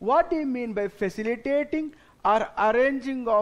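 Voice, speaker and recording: With an Indian accent, a man talks at a moderate pace using lively intonation. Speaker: tax exam lecturer. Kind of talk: lecture. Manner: instructive, addresses students directly. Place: studio.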